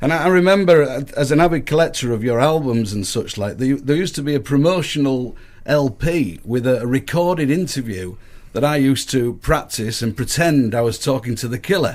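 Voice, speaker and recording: Speaking with a northern English accent, a man of medium pitch moves at a fairly quick pace with lively intonation. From northern England. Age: 60s. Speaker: musician. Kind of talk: interview.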